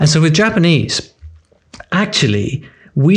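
The voice has a British accent and is somewhat breathy. Its pitch swings are very wide. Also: man. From UK. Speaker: language learning author and course creator. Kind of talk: interview.

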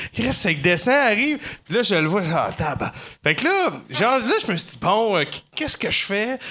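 Raising and projecting his high voice, a man talks at a moderate pace with very wide pitch swings. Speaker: comedian. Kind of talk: casual chat. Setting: comedy club stage with audience.

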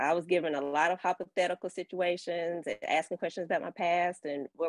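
A woman speaks at a moderate pace in an ordinary speaking voice, fairly low in pitch. Her intonation is fairly even, and the sound is dry and close with no echo. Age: 30s. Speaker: caller. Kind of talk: call-in discussion. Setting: call-in on live stream.

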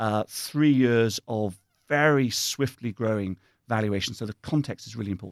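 Here a man with a British accent speaks at a moderate pace. The recording is very clean, with a silent background and a dry, close sound with no echo. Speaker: investment officer guest. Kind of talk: interview conversation. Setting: studio. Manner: thoughtful, hesitant with fillers.

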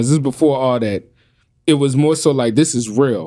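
In a New Orleans accent, a man with medium pitch and a dark, mellow tone talks at a fairly quick pace with ordinary pitch variation. The recording is very clean, with a silent background. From New Orleans, US. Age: 40s. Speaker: podcast host. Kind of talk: casual chat.

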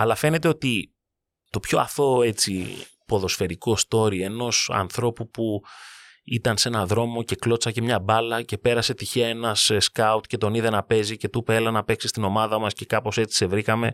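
A normal speaking voice from a man, medium in pitch, at a moderate pace with fairly even intonation and a dry, close sound with no echo. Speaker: sports podcast host. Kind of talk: narrated monologue.

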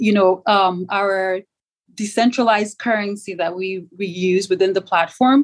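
With a Yoruba accent, a woman speaks at a medium pitch and a moderate pace, her pitch varying in an ordinary way. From Nigeria. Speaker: startup founder. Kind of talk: interview.

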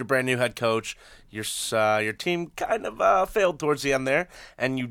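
Quick and lively, a man talks with a fairly high pitch. It is a normal speaking voice, moving at a fairly quick pace. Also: very clean recording, silent background. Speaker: student sports panelist. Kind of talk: casual sports talk show.

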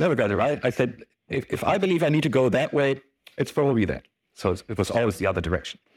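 A man with a German accent speaks at medium pitch with lively intonation on a very clean recording with a silent background. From Germany. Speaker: sales executive. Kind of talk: conference talk. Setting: stage with audience. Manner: hesitant.

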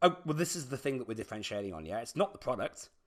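A man speaks with lively intonation. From UK. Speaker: tech startup CEO. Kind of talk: interview.

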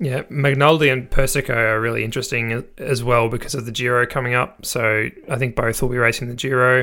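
With a bright, sharp tone and fairly even intonation, a man speaks at a medium pitch and moderate pace on a very clean recording with a silent background. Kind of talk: casual chat.

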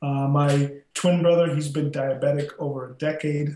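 A man with an American accent, fairly high-pitched, monotone and flat, with a dark, mellow tone and a somewhat breathy quality. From South Texas, then Chicago from high school. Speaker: former college football player, plant-based health advocate. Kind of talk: interview.

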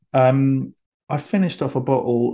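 Against a quiet background, a man speaks fairly slowly. He has an ordinary speaking voice with ordinary pitch variation. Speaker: podcast host. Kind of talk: casual chat. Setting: video call.

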